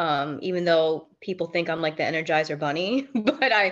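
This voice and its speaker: A plain, everyday voice from a woman, fairly low in pitch, fairly quick, against a quiet background. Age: 30s. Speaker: mentorship client. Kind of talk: casual chat.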